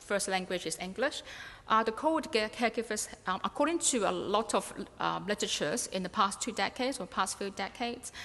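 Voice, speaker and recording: A woman talks at a fairly quick pace with a Cantonese accent. Her fairly high voice carries lively intonation. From Hong Kong. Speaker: researcher. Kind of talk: conference presentation. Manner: halting, many fillers.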